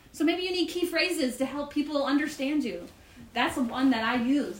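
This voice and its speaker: Noticeable background noise sits behind a woman's voice. She speaks at a high pitch and a moderate pace. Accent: American. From US South, Marietta, Georgia. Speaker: women's retreat speaker. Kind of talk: talk at a church retreat. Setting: retreat with live audience.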